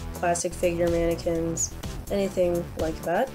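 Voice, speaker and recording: At a moderate pace, someone talks while music plays behind them. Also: woman. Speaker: cosplayer. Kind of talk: tutorial voice-over.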